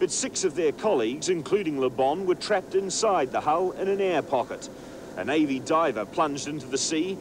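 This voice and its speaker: A man talks at a fairly quick pace in a high voice with lively intonation, over noticeable background noise. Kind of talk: 1980s TV news report, scripted narration. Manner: formal, brisk, even-toned newsreader delivery.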